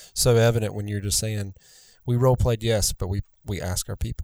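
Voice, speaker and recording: A man talks at a fairly quick pace in a dark, mellow tone with fairly even intonation, on a very clean recording with a silent background. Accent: Southern US. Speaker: podcast host. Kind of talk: casual interview chat.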